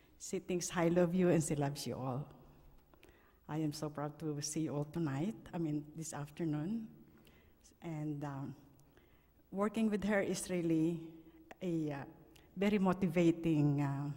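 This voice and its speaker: A woman's very deep, low voice with a Filipino accent, dark and mellow in tone, at a fairly slow pace with ordinary pitch variation and long, frequent pauses. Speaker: nurse, coworker of the deceased. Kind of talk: eulogy. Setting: funeral service.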